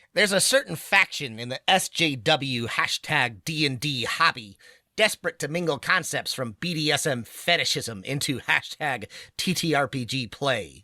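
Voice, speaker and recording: A man's put-on character voice, fairly high in pitch, at a moderate pace on a very clean recording with a silent background. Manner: nerdy, mocking.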